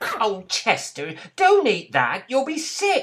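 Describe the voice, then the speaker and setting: A man's put-on character voice at an extremely high pitch and a very slow pace. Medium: read story. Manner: snooty.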